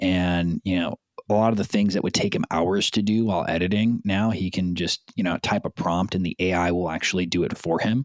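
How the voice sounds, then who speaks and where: A man's very deep, low voice with a Californian accent, very even loudness, fairly even intonation and hardly any pauses, in a dry, close sound with no echo. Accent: Californian American. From Southern California, South Bay. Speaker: commercial real estate platform business developer. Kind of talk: casual interview.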